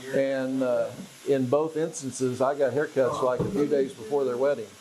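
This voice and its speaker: Noticeable background noise behind a man with an American accent, fairly high pitch, fairly even intonation, moderate pace, and very even loudness. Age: 60s. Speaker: customer. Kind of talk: documentary interview.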